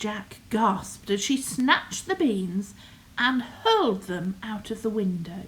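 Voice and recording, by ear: Someone is reading aloud in a natural voice.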